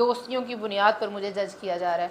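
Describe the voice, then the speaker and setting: Speaking with a Punjabi accent, a woman uses a fairly high pitch and fairly even intonation. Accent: Punjabi accent in Urdu. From Punjab, Pakistan. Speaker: guest on women's podcast. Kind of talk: podcast interview.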